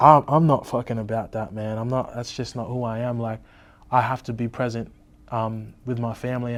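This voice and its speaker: Recorded very cleanly against a silent background, a man with an Australian accent speaks at medium pitch and a moderate pace. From Tweed Heads, New South Wales, Australia. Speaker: rapper. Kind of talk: interview. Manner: casual, many fillers.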